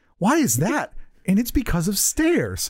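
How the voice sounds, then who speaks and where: A put-on character voice sits at a fairly high pitch. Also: moderate pace, very wide pitch swings. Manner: ominous, like a horror trailer voiceover.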